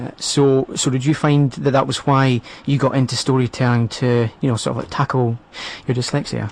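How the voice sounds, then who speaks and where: Noticeable background noise runs beneath speech at a moderate speed. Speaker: radio host. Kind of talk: radio interview. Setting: radio studio. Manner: stammer.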